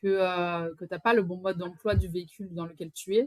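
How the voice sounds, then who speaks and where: An unremarkable speaking voice at a moderate pace, in a dry, close sound with no echo. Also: woman. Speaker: podcast host. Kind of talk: casual podcast conversation.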